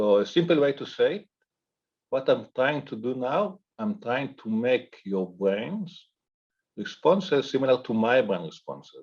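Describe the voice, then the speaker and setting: The voice moves at a fairly slow pace with very wide pitch swings. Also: man, medium pitch for a man. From Israel. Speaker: professor. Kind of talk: panel discussion. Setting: video call.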